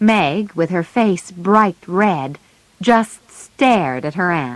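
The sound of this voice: This is an unforced reading voice. It is heard on its own.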